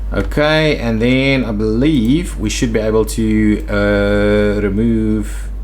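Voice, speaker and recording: The speaker goes at a very slow pace with hardly any pauses. Noticeable background noise runs underneath. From South Africa. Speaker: gaming streamer. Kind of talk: live gameplay stream commentary. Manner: casual, thinking aloud.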